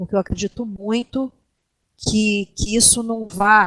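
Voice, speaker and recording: A woman at a fairly slow pace, the sound dry and close with no echo. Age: 60s. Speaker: guild co-leader, doctor and teacher. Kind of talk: interview. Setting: voice chat call.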